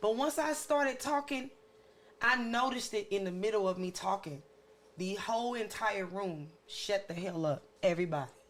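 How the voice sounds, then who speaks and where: Loud and at a moderate pace, a woman speaks at a medium pitch. Her pitch swings very widely. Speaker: podcast co-host. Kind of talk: casual chat. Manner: stern.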